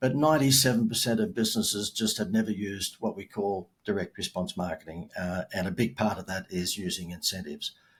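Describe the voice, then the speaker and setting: A man with an Australian accent speaks at a fairly quick pace in a fairly low pitch. His voice is somewhat breathy, with ordinary pitch variation. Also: hardly any pauses. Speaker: marketing expert and keynote speaker. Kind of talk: podcast interview. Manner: animated.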